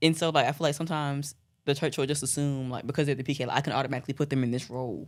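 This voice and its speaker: A woman with an American accent speaks in a very deep, low voice. Her pace is very fast. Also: fairly even intonation, very clean recording, silent background. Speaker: pastor's daughter. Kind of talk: casual chat.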